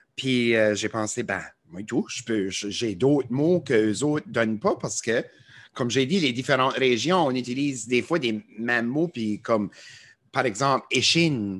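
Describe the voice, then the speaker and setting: Here a man speaks in an Acadian accent. His pitch is medium and his pace fairly slow. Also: ordinary pitch variation. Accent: Acadian French (chiac). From Acadia, New Brunswick. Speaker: TikToker and musician. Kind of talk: podcast interview. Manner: hesitant, many fillers.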